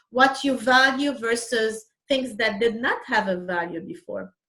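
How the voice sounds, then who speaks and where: A woman speaks with a Lebanese accent and lively intonation. Her pitch is fairly high. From Lebanon. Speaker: real estate agent, immigrant. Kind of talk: interview.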